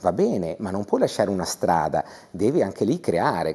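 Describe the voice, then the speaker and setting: This man speaks with very wide swings in pitch. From Friuli, Italy. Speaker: TV guest. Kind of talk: interview. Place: studio. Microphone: lapel.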